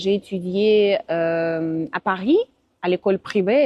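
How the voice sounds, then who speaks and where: A woman speaks at a medium pitch in a Russian accent. Her pace is very slow. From Russia, Moscow. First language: Russian (speaking French). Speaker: interviewee, language teacher. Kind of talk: interview. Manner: halting.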